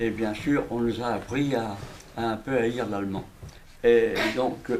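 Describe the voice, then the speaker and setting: In a room with audible echo, a man with a medium pitch speaks in a monotone, flat intonation. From France. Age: 90s. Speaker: war veteran. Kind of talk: interview.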